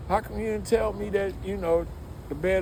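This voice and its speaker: An American accent is heard amid noticeable background noise and audible room echo. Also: man. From Detroit, Michigan, US. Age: 60s. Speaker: music industry veteran. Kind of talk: casual interview chat. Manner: animated.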